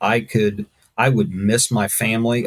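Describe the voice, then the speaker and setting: A man with a fairly low voice talks fairly slowly, his pitch varying in an ordinary way. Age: 60s. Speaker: first responder and mission worker. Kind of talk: casual chat. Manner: halting.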